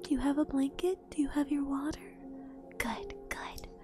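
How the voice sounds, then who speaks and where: Faint background music accompanies a dry sound that has no echo. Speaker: streamer. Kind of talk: ASMR book reading. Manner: soft-spoken, calm. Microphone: studio mic.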